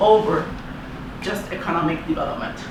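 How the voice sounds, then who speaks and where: At a moderate pace, a woman with a fairly high pitch and ordinary pitch variation talks amid noticeable background noise and audible room echo. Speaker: agroecology activist. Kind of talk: presentation.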